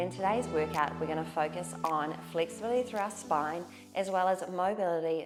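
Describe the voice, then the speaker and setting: With music in the background, a woman with a fairly low pitch speaks in a calm tone at a moderate pace. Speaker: Pilates instructor. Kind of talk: guided workout instruction. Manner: calm, encouraging.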